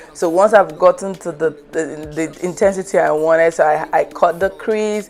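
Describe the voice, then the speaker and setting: Over noticeable background noise, a woman speaks at a moderate pace in a fairly low pitch with fairly even intonation. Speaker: makeup artist and beauty youtuber. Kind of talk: makeup tutorial voiceover. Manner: halting, stuttering.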